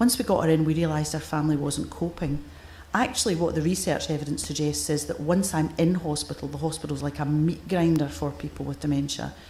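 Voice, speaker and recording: The voice carries a Scottish accent, with audible room echo around it. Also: woman. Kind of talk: conference keynote. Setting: stage with audience. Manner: forceful.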